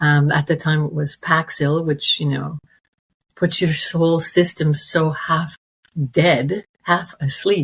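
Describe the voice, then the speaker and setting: Very slow and monotone, with flat intonation, a woman speaks at a very deep, low pitch. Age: 60s. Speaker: interview guest sharing recovery story. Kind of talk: personal testimony in interview. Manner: halting, many fillers and restarts.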